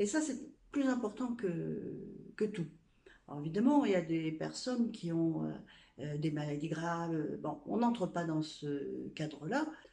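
With audible room echo, a woman speaks very slowly at a fairly low pitch, her dark, mellow tone moving through very wide pitch swings. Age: 60s. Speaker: blogger and influencer. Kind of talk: casual testimony. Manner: halting.

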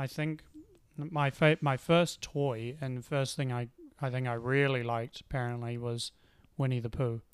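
Fairly even intonation from a man at a moderate pace, his pitch medium. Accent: New Zealand. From New Zealand, Auckland. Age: 20s. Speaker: podcast co-host. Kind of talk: casual chat.

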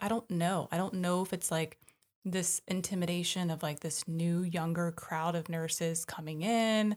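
A woman with a fairly low-pitched, normal speaking voice shows ordinary pitch variation. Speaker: nurse and podcast co-host. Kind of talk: casual chat.

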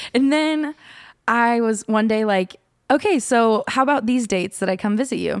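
This woman has an ordinary speaking voice, fairly high in pitch, with an American accent and ordinary pitch variation. She speaks at a moderate pace, and the sound is dry and close with no echo. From Oklahoma, Norman. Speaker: musician. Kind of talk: casual interview chat.

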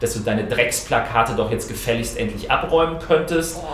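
A man with ordinary pitch variation keeps a moderate pace, and noticeable background noise is heard behind him. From Hesse, near Frankfurt. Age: 30s. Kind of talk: casual interview. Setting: parliament building. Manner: hesitant with fillers.

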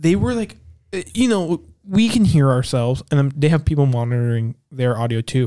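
A man with a plain, everyday voice talks at a moderate pace. His pitch is fairly high and his intonation lively. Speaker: podcast host. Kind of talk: casual chat.

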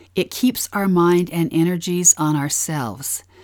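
A woman with an American accent speaks at a fairly low pitch and a fairly slow pace. The recording is very clean with a silent background. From Utah. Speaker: podcast co-host, scripture study. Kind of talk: scripted scripture-study narration.

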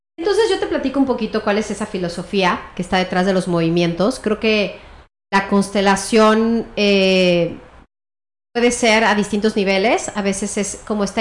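Here is a woman with a normal speaking voice at medium pitch. She keeps a moderate pace and fairly even intonation. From Mexico City. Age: 40s. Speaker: family constellations therapist. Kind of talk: interview.

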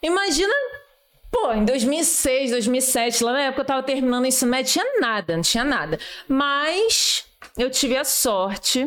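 A high-pitched woman at a fairly slow pace, with lively intonation. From Rio de Janeiro, Brazil. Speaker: army sergeant. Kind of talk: casual chat.

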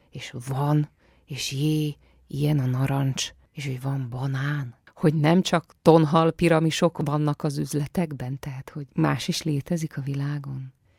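A woman with a very deep, low pitch speaks in a somewhat breathy voice. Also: dry, close sound with no echo, very clean recording, silent background. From Transylvania, Romania. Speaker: actress. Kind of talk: radio interview. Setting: studio.

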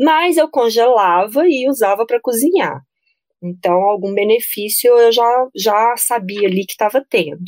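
A woman with a plain, everyday voice speaks at a fairly high pitch with lively intonation, the sound dry and close with no echo. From Brasília, Brazil. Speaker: nutritionist. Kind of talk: casual interview chat.

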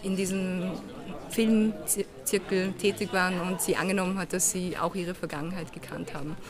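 With audible room echo and noticeable background noise, a woman speaks at a medium pitch and a moderate pace. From Vienna, Austria. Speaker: film director. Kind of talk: interview. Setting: outdoors at festival.

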